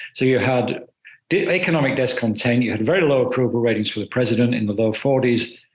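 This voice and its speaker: A man with a British accent speaks at a medium pitch. His pace is very fast, with ordinary pitch variation. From United Kingdom. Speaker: political journalist. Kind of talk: panel discussion.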